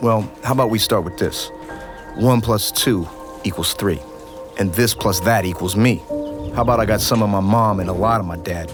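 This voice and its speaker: Music plays in the background as a man talks at a moderate pace. His voice is fairly low, with ordinary pitch variation. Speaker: spoken word poet. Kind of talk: spoken word poetry performance.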